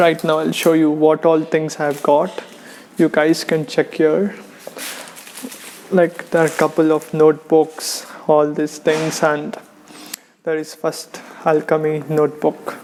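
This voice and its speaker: Amid noticeable background noise, a speaker with an Indian accent talks at a very slow pace in monotone, flat intonation with long, frequent pauses. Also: man. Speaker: online business course reviewer. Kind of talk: casual unboxing talk to camera.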